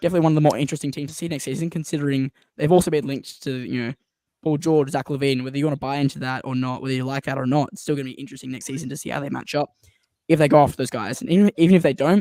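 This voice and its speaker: With a dark, mellow tone and a fairly high pitch, a man talks at a very fast pace, his loudness swinging widely. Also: fairly even intonation, dry, close sound with no echo. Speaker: sports podcast host. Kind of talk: live stream basketball draft discussion.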